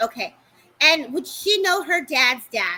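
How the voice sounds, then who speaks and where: Raising and projecting her voice, a woman speaks at a moderate pace with a bright, sharp tone and very wide pitch swings. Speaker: psychic medium. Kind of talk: live psychic reading. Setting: livestream.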